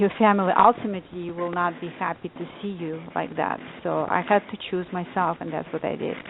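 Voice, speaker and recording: Pitched fairly low, a woman talks in a non-native accent. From Lithuania. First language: not English. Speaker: author and life coach. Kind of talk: casual interview chat.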